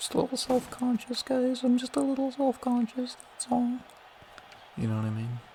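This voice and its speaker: A man speaks quietly. Noticeable background noise can be heard. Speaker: gaming youtuber. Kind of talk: casual gameplay commentary. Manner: quieter later on.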